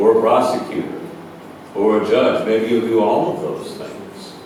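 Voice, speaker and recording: Speaking at a fairly slow pace with an American accent, a man with a medium-pitched voice is heard amid noticeable background noise and audible room echo. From Washington state, US Pacific Northwest. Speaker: judge, former federal agent. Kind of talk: public lecture to law students. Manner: halting, many fillers.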